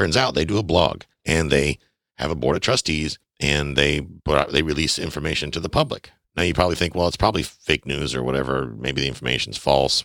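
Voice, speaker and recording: A man talks with vocal fry at a very deep, low pitch and ordinary pitch variation, at a fairly quick pace. The sound is dry and close, with no echo. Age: 40s. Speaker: podcast host on personal finance. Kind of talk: solo podcast monologue. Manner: emphatic, direct address to listeners.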